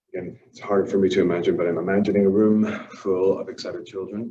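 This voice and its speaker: With a fairly low pitch and monotone, flat intonation, a man speaks at a moderate pace amid audible room echo. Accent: Irish. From Ireland. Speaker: language teacher. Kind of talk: workshop presentation. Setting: empty classroom.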